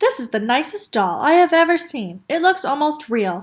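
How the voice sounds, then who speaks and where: A woman puts on a high-pitched character voice with very wide pitch swings. She speaks at a moderate pace. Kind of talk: bedtime story. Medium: read story.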